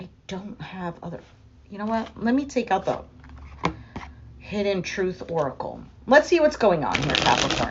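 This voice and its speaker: A woman at a medium pitch and moderate pace, with very wide pitch swings, big swings in loudness, long, frequent pauses and noticeable background noise. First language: not English. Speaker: tarot reader. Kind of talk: tarot reading. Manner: halting.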